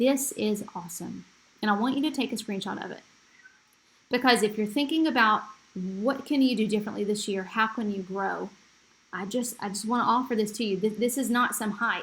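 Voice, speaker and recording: Ordinary pitch variation comes with a fairly quick pace of speech. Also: woman. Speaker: real estate agent. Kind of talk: sales pitch. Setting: screen recording presentation. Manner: fast; animated.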